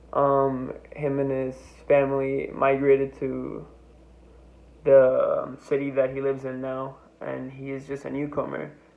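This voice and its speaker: In a room with audible echo, a man speaks at a fairly slow pace with long, frequent pauses and big swings in loudness. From Mexico, Tijuana, then Iowa from age nine. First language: Spanish. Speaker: student. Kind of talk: class presentation. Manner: halting, many fillers.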